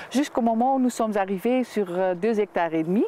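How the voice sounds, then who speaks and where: Over noticeable background noise, a woman with a slight Dutch accent speaks at a medium pitch with ordinary pitch variation. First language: Dutch (speaking French). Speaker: winemaker. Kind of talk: TV interview. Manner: halting, many hesitations.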